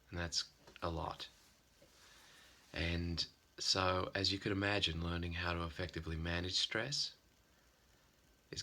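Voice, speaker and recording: In an Australian accent, a man with a very deep, low pitch and a bright, sharp tone talks at a fairly slow pace with ordinary pitch variation. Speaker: psychotherapist. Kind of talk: informal talk to camera.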